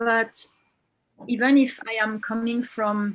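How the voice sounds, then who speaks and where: In a very clean recording with a silent background, a woman with a French accent talks at a very slow pace in a monotone, flat intonation. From France. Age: 50s. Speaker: women's circle facilitator. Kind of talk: testimony. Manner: halting.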